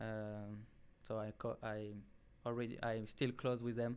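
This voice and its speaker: The speaker has a French accent and a fairly slow pace. The intonation stays monotone and flat. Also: man. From southern France, near Marseille. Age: 20s. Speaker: college soccer player. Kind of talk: interview. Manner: halting, many filler sounds.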